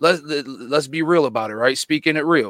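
At a fairly quick pace, a man with an American accent speaks in a bright, sharp tone at a fairly high pitch, with ordinary pitch variation and a dry, close sound with no echo. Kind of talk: casual debate. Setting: video call.

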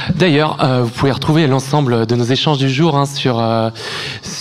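Noticeable background noise beneath a man's voice, medium in pitch, with ordinary pitch variation. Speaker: radio host. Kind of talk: live radio interview.

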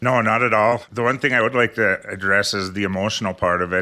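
A man at a fairly low pitch with a normal speaking voice and a fairly quick pace. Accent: American. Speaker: financial advisor. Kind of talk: radio talk show.

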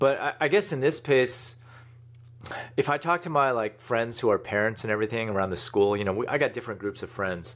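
A man talks fairly quickly in a normal speaking voice, his intonation lively. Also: medium pitch for a man. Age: 40s. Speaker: e-commerce entrepreneur and author. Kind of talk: interview.

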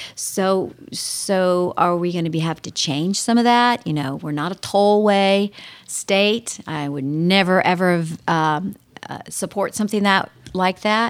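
An unremarkable speaking voice, this woman talks fairly slowly with an American accent at a medium pitch and ordinary pitch variation. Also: very clean recording, silent background. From Ohio, US Midwest. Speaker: state politician. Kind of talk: radio interview.

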